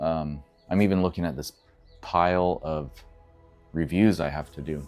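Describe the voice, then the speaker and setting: Music plays in the background as a man speaks. His pitch is very deep and low, with ordinary variation. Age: 40s. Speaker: vlogger. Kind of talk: casual vlog monologue. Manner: reflective, halting with fillers.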